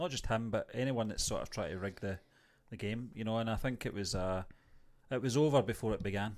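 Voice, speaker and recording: Speaking at a fairly quick pace, a man with an ordinary speaking voice keeps a medium pitch and ordinary pitch variation. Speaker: TV review host. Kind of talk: casual review chat. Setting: online show, video stream.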